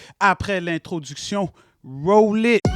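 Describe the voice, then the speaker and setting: Music plays in the background as a man with a high pitch talks at a fairly slow pace in an animated tone, with ordinary pitch variation and a dry, close sound with no echo. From Quebec. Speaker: web show host. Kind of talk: casual panel chat.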